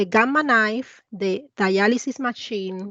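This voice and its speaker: A woman with a Latin American accent speaks at a fairly high pitch. Her pace is fairly slow and her intonation fairly even. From Cuba. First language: Spanish. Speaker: investment advisor. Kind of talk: presentation.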